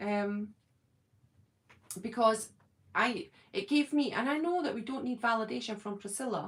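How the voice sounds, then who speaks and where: Speaking at a moderate pace with a Scottish accent, a woman sounds somewhat breathy, her fairly high voice full of lively intonation. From Scotland, Edinburgh. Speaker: YouTuber, fan channel host. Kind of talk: casual chat.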